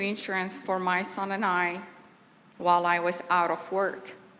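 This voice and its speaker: In a Kurdish accent, a woman speaks at a fairly slow pace with a medium-pitched voice. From Kurdistan. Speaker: former employee giving eulogy. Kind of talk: eulogy.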